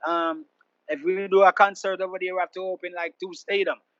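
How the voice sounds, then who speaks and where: Speaking with a Jamaican accent, a man talks fairly quickly at a high pitch with big swings in loudness, over a quiet background and with a dry, close sound and no echo. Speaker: reggae artist. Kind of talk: interview.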